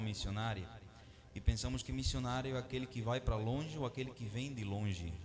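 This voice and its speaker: With music in the background and audible room echo, a man in a Venezuelan accent speaks at a moderate pace and medium pitch, his intonation fairly even. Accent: non-native Portuguese, Venezuelan. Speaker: missionary preacher. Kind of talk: sermon.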